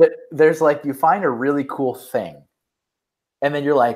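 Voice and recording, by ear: A man's fairly high voice, slightly mellow in tone, with ordinary pitch variation. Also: fairly slow pace.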